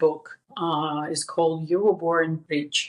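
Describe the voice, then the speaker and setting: A woman's fairly low voice with a Russian accent. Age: 50s. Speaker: author and women's empowerment speaker. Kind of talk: podcast interview. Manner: halting, many repeats and fillers.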